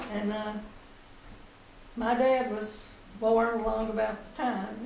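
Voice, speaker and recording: A woman at a very slow pace, fairly high-pitched and monotone, flat in intonation, over noticeable background noise. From East Texas. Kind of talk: oral history interview.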